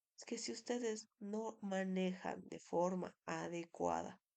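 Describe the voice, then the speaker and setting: At a very slow pace, a woman speaks at medium pitch in a dark, mellow tone. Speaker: dentistry lecturer. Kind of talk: lecture. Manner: halting, many fillers.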